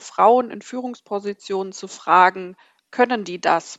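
A woman with a normal speaking voice, ordinary pitch variation, and a moderate pace. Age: 30s. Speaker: newspaper editor. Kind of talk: casual chat.

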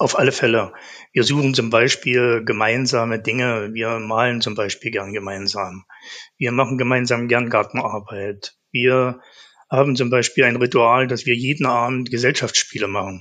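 At a moderate pace, a man with a medium pitch and a bright, sharp tone speaks with fairly even intonation. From eastern Germany, Saxony-Anhalt and Thuringia. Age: 60s. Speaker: asthma patient. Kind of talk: interview.

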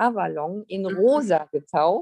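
A woman's voice, dry and close with no echo. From Lower Saxony, Germany. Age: 50s. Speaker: artist and spiritual guide. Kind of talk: casual interview chat.

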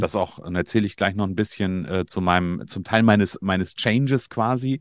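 A man with an unremarkable speaking voice talks at a fairly low pitch with ordinary pitch variation, in a dry, close sound with no echo and a quiet background. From Germany, northern Hesse. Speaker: coach for media designers and podcast agency owner. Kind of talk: interview.

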